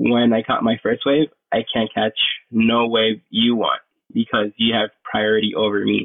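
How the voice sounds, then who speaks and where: Here a man speaks with a Puerto Rican accent. His pace is moderate. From Puerto Rico. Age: 20s. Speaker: pro surfer. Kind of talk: casual interview.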